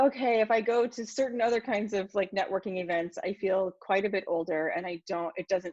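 A woman's normal speaking voice at medium pitch and moderate pace, with ordinary pitch variation and a dry, close sound free of echo. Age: 40s. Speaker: podcast host. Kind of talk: interview conversation.

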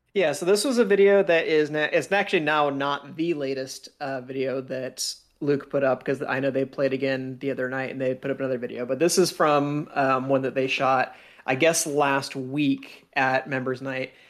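Fairly high in pitch, a man is speaking. His intonation stays fairly even. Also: moderate pace. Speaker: podcast co-host, laser tag commentator. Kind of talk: casual chat with game footage breakdown. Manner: talkative.

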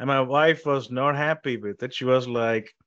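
A medium-pitched man with an Indian accent, fairly even intonation and a moderate pace, against a quiet background. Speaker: tech company founder and CEO. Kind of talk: interview.

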